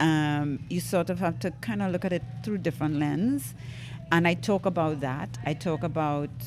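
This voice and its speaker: Music plays in the background as a woman talks at a fairly slow pace. Her pitch is very deep and low. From Trinidad and Tobago. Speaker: stand-up comedian. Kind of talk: podcast interview answer.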